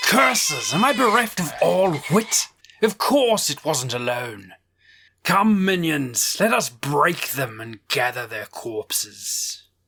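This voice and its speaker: A put-on character voice at a fairly slow pace, full of very wide pitch swings. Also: man, fairly high pitch for a man. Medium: actual play. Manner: sardonic, imperious.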